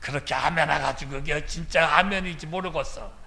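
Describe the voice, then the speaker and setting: With a bright, sharp tone, a man speaks at a moderate pace amid audible room echo. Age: 70s. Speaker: retired senior pastor. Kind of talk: sermon. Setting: church.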